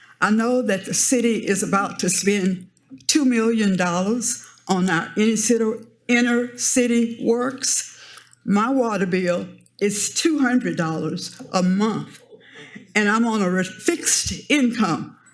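In an American accent, a woman with a fairly high pitch speaks at a fairly slow pace with ordinary pitch variation, and room echo is audible. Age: 70s. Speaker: member of the public giving public comment. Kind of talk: public comment at city council meeting. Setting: city council chamber.

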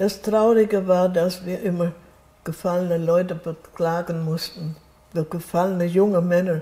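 A woman speaks at a fairly slow pace in a fairly low pitch, her dark, mellow tone somewhat breathy and her intonation flat and monotone. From Wetzlar area, Hesse, Germany. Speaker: contemporary witness of the Nazi era. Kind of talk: interview answer. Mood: reflective, somber at times. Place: home room. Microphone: lapel.

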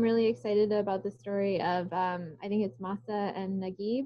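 The background is quiet as a woman talks at a moderate pace. Her pitch variation is ordinary. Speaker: religious educator. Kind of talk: group discussion. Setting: video call. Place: home room. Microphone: video call.

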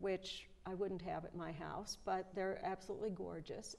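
A woman speaks with a US Midwestern accent. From Nebraska (rural, near Omaha); Nebraska. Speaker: retired high school German teacher; interview guest. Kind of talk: interview, casual chat. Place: studio. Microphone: lapel.

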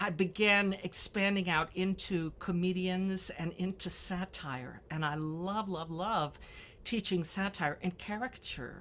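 Speaking at a fairly slow pace, a woman with an American accent shows ordinary pitch variation. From US South, Memphis, Tennessee. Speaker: music instructor and pianist. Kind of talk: interview. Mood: warm, cheerful, animated. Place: home room. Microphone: webcam.

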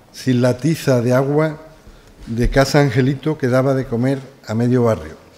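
Speaking at a fairly slow pace, a man keeps to a medium pitch. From Seville, Spain; Spain. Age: 60s. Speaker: doctor and author. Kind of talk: reading aloud from own book. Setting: live event with audience. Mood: nostalgic, lyrical. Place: hall. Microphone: podium.

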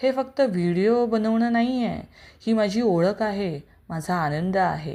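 A woman's medium-pitched voice has a dark, mellow tone and lively intonation. The recording is very clean, with a silent background. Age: 40s. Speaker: teacher and vlogger. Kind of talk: personal story monologue.

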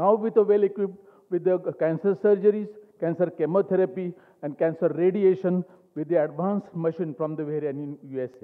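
Against a quiet background, a man with a Marathi accent talks fairly quickly in a high voice. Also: fairly even intonation. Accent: Indian English, Marathi. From India, rural Maharashtra (Ahmednagar); Maharashtra, India. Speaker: cancer surgeon. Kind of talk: award speech. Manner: halting; passionate. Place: hall. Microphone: podium.

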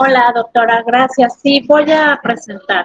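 A woman speaks slowly-ish with a fairly high pitch and ordinary pitch variation. The sound is dry and close, with no echo.

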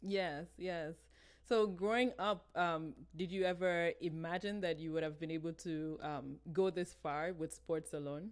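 Against a quiet background, a woman with an unremarkable speaking voice talks at a fairly slow pace, pitched fairly low with ordinary pitch variation. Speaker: podcast host. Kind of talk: casual interview. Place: home room. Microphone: video call.

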